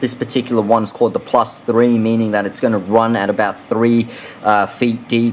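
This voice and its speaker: A man with an Australian accent and a medium pitch speaks at a moderate pace over noticeable background noise. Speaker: fishing lure reviewer. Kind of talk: product review. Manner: many filler words, hesitant.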